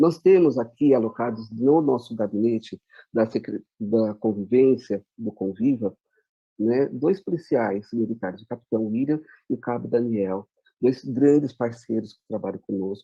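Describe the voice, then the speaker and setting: This is a man with an ordinary speaking voice. He has a medium pitch and talks at a fairly slow pace. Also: ordinary pitch variation. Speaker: education official. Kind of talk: presentation.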